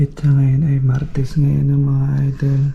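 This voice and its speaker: Somewhat breathy with a dark, mellow tone, the voice moves at a very slow pace. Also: man. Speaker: vlogger. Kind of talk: casual vlog.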